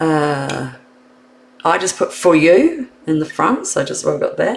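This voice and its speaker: A woman is talking. She has a New Zealand accent. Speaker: card making instructor. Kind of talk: live stream tutorial. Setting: live stream. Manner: casual, thinking aloud.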